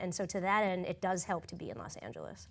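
This woman speaks with a monotone, flat intonation. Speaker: film and television writer. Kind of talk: panel discussion. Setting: stage with audience. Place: stage.

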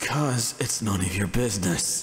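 A man does a raspy, put-on character voice at a fairly low pitch. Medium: audio drama. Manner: gruff, sarcastic.

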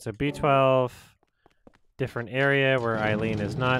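A man's ordinary speaking voice at medium pitch, moderate pace and fairly even intonation. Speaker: gaming streamer. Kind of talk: let's play commentary.

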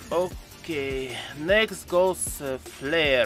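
With faint music in the background, a man speaks in a dry sound with no echo. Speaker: gaming YouTuber. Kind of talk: game commentary voice-over. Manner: sarcastic, joking. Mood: wry, sarcastic. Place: home room. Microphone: studio mic.

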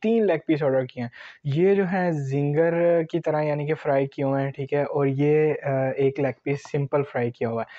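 Against a quiet background, a man speaks at a moderate pace. The sound is dry with no echo, and his intonation is fairly even. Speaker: food vlogger. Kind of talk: casual vlog chat. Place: home room. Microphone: lapel.

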